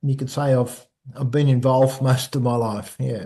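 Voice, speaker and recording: A man speaks at a medium pitch with a dark, mellow tone, a somewhat breathy quality and fairly even intonation. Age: 60s. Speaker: personal trainer. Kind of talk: casual interview chat. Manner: halting, repeats words.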